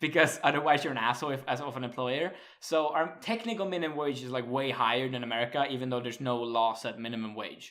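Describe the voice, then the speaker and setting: Speaking very fast with hardly any pauses, a man holds a medium pitch with ordinary pitch variation. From Sweden. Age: 20s. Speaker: podcast host. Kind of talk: casual chat.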